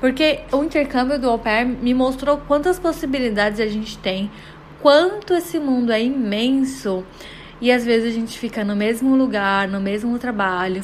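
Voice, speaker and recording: Over noticeable background noise, a woman speaks at a moderate pace. Her fairly high pitch moves with lively intonation. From Brazil, Guarujá (São Paulo coast). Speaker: podcast host, psychologist. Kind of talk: personal storytelling monologue.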